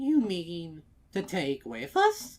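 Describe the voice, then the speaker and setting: A man puts on a character voice pitched high. His pitch swings very widely. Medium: read story. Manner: polite, fretful.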